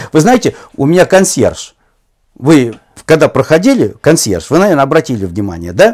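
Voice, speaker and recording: Over a quiet background, a man with a fairly high pitch and vocal fry speaks at a moderate pace, his pitch swinging very widely. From Russia. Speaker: football commentator. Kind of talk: interview conversation. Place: home room. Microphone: lapel.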